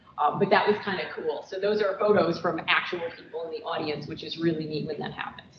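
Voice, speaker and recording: The speaker talks at a very fast pace with hardly any pauses. Noticeable background noise can be heard. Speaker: professor. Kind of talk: workshop presentation.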